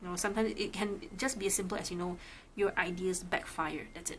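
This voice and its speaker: A woman's somewhat breathy voice at medium pitch, with fairly even intonation and a moderate pace. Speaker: tarot reader. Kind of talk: casual tarot reading talk to camera.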